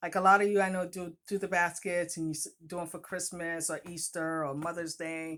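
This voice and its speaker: A woman with a strong Boston accent speaks at a fairly low pitch in a monotone, flat intonation. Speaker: author and vlogger. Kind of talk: casual vlog talk to viewers. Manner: conversational, halting with fillers.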